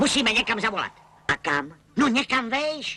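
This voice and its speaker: The speaker uses a cartoonish character voice pitched fairly high. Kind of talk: comic cartoon acting. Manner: colloquial, chatty.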